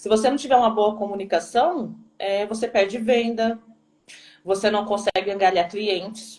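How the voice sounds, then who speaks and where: A woman's medium-pitched voice, a normal speaking voice. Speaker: teacher. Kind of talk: live stream talk.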